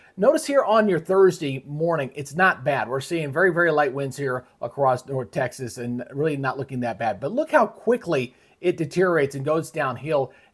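Lively intonation marks this man's somewhat breathy voice, which moves at a moderate pace with hardly any pauses. The background is quiet. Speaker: weather commentator. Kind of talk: weather forecast commentary.

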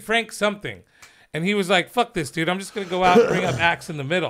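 In a raised, projected voice, a man with an American accent sounds bright and sharp, his pitch high for a man with ordinary variation. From Riverside, Southern California; California. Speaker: comedian co-host; podcast host or guest. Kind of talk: casual chat. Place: studio. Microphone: studio mic.

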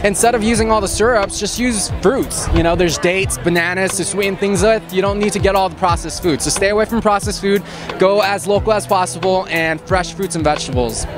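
A man's high voice at a very fast pace with hardly any pauses, ordinary pitch variation, clear background music, and a dry sound with no echo. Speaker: interviewee. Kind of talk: interview answer. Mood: cheerful, earnest. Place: street. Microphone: handheld.

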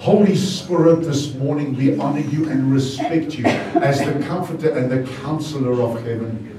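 A man at a fairly slow pace with ordinary pitch variation, audible room echo and light background noise. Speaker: pastor. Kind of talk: prayer then sermon. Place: church.

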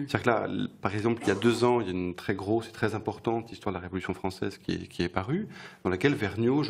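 His speech moves at a very fast pace. This man has a fairly low pitch with ordinary pitch variation. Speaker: bookshop event host. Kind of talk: interview. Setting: stage with audience. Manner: halting.

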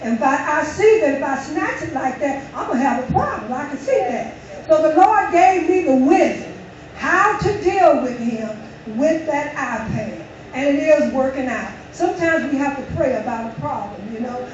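Over noticeable background noise, a woman speaks at a high pitch and a moderate pace with lively intonation. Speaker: church member leading closing prayer. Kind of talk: closing prayer. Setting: church.

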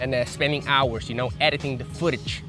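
Clear music plays behind a man whose voice is recorded dry with no echo. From Aruba. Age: 20s. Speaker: fitness YouTuber and personal trainer. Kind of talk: casual talk to camera. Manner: frank, blunt. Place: garden. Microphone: lapel.

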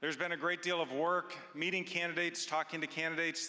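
A man's bright, sharp tone at a fairly quick pace, quiet background. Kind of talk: church announcement address. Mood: warm, reassuring. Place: stage. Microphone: handheld.

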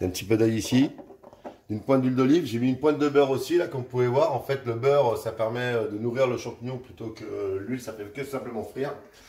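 Speaking very fast with fairly even intonation, a man is heard with audible room echo. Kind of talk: tutorial. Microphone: camera far.

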